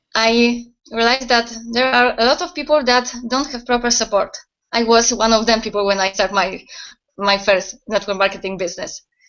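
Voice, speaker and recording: A woman with a fairly high pitch and a Polish accent, at a moderate pace. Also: ordinary pitch variation. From Poland. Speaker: website owner, network marketer. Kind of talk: interview answers. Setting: video call. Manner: halting.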